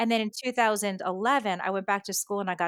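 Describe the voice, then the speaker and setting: Speaking at a very fast pace, a woman with a US Northeastern accent comes through on a very clean recording with a silent background. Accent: US Northeast. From US Northeast, New York and Connecticut. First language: Japanese. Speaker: education expert and author. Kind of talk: podcast interview.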